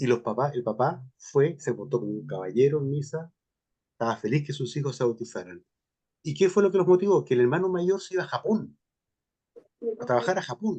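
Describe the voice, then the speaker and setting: A man speaks at a fairly quick pace with a fairly high pitch and very wide swings in pitch. His tone is dark and mellow, broken by long, frequent pauses. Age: 60s. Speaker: priest giving a seminar talk. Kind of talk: question and answer after a talk.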